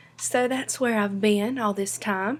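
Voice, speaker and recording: A woman speaks at a fairly slow pace in a Southern US accent. Her pitch sits fairly high and her intonation stays fairly even. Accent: Southern American. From North Carolina. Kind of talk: casual talk to camera.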